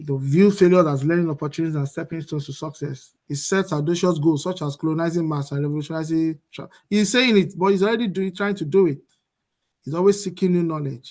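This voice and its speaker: A man with a high voice talks at a very fast pace, with ordinary pitch variation and big swings in loudness. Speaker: motivational speaker. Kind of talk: seminar presentation.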